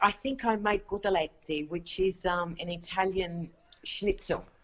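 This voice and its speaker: A woman with an Australian accent, medium in pitch, at a fairly slow pace. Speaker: online cooking show host. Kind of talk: live radio interview.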